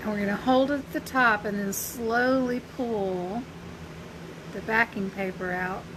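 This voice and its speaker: Over noticeable background noise, a woman with a fairly high pitch and a Southern US accent speaks at a fairly slow pace with ordinary pitch variation. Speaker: crafter and small business owner. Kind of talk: live craft tutorial. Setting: Facebook live stream. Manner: casual, chatty.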